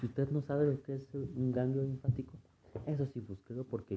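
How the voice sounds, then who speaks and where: A man with a Mexico City accent speaks at a moderate pace and medium pitch, his tone dark and mellow and somewhat breathy. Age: 20s. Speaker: podcaster. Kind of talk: casual monologue.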